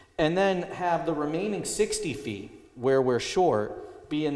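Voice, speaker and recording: A man speaks at a fairly slow pace. There is audible room echo and noticeable background noise. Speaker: applicant's representative at zoning hearing. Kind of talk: presentation at public hearing. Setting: town hall meeting. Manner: loud.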